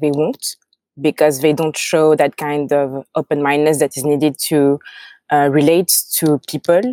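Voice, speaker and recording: In a French accent, the voice has a dark, mellow tone, fairly even intonation and a moderate pace. The recording is very clean with a silent background, dry and close with no echo. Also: woman. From France. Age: young. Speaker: tech founder. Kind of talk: interview. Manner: halting.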